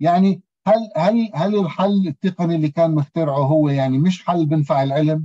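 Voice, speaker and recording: This man has a fairly high pitch and a dark, mellow tone. He speaks at a moderate pace with hardly any pauses and very even loudness. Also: ordinary pitch variation, quiet background. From Palestine. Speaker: philosophy professor. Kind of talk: seminar presentation. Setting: video call. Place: home room. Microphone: video call.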